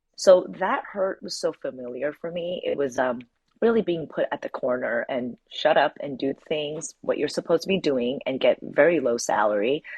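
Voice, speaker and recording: Her voice very deep and low, a woman speaks at a moderate pace with lively intonation. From Taiwan and Australia, grew up in Asia. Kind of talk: casual interview conversation.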